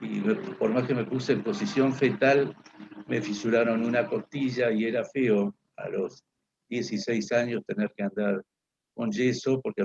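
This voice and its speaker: A man's medium-pitched voice at a moderate pace, lively in intonation, with a dry, close sound and no echo. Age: 60s. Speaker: political speaker. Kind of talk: lecture. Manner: halting, many fillers.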